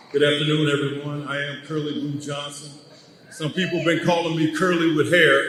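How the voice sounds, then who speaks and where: With an American accent, a man talks at a moderate pace in a fairly high, monotone voice with flat intonation, amid noticeable background noise. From Chicago, US Midwest. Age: 60s. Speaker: former pro basketball player. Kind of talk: ceremony speech.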